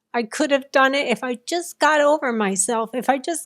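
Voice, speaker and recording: The recording is very clean, with a silent background. A woman speaks at a high pitch. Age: 60s. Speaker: near-death experiencer. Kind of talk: interview testimony.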